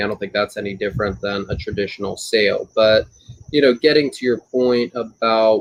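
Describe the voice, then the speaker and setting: At a moderate pace, a man talks in an unremarkable speaking voice. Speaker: auctioneer. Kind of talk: expert interview answer about real estate auctions.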